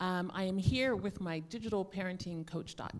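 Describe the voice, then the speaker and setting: A woman with an American accent talks in a normal speaking voice. Her pace is moderate and her pitch varies in an ordinary way. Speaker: digital parenting expert, panelist. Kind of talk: panel discussion.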